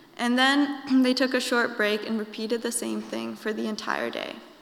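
A woman with an American accent speaks at a fairly high pitch with fairly even intonation over noticeable background noise. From Indiana, Peru and Ecuador. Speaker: college student. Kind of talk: prepared talk.

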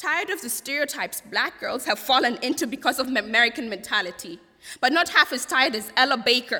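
Over noticeable background noise, a high-pitched woman speaks at a very fast pace with lively intonation. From Kenya. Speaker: college student. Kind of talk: panel discussion and poetry performance.

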